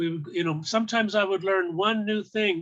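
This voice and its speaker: A man's bright, sharp voice at a fairly quick pace, with ordinary pitch variation. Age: 60s. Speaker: foraging teacher. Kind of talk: online summit talk. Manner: halting, many repetitions.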